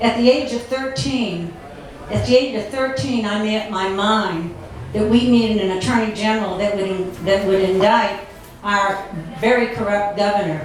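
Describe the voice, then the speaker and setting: At a moderate pace, a woman with a New England accent speaks in a fairly high pitch, with audible room echo and noticeable background noise. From Massachusetts. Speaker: political activist and war veteran. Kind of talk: speech to luncheon audience. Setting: restaurant meeting room with audience. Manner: animated.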